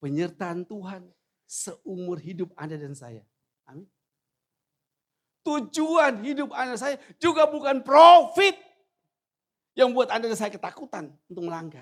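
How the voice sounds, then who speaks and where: A man's high voice at a fairly slow pace, with very wide pitch swings, big swings in loudness and long, frequent pauses. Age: 60s. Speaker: pastor. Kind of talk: sermon. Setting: church.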